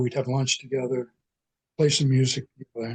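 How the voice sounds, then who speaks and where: Somewhat breathy, a man speaks with a fairly high pitch and a dark, mellow tone. The sound is dry and close, with no echo. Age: 80s+. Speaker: Irish folk musician. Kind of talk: interview. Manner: halting.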